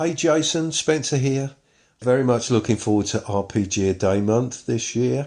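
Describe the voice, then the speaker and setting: An unremarkable speaking voice: a man at a medium pitch, with ordinary pitch variation, very even loudness and a moderate pace, over a quiet background. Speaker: listener contributor. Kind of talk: recorded message.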